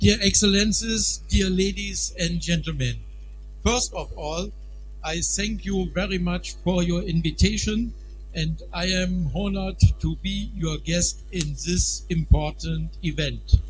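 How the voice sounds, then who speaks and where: A man with a German accent and very deep, low pitch, monotone, flat intonation and a fairly slow pace, with audible room echo and music in the background. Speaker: festival organizer. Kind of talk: formal speech. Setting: stage with audience.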